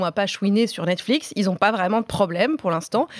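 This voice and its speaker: In a normal speaking voice of medium pitch, a woman talks at a moderate pace with lively intonation, the sound dry and close with no echo. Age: 30s. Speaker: freelance journalist and TV series critic. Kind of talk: casual debate.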